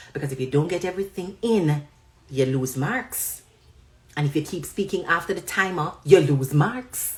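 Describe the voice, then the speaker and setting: A woman's fairly low, somewhat breathy voice with lively intonation, at a moderate pace. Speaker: online commentator. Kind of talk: live stream chat.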